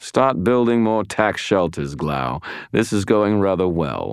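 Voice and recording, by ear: In a put-on character voice, a man speaks slowly at a low pitch with big pitch swings and a clear, smooth tone, on a very clean recording with a silent background.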